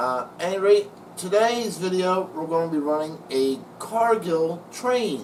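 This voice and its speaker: There is noticeable background noise and audible room echo. Through it, a man talks at a very slow pace. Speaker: model train hobbyist YouTuber. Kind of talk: casual video narration.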